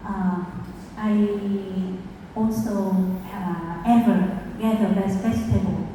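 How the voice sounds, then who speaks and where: In a Vietnamese accent, a woman speaks very slowly at a medium pitch with fairly even intonation. Audible room echo and noticeable background noise fill the recording. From Vietnam, rural province. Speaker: food movement founder. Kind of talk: conference talk. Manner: halting, with many fillers.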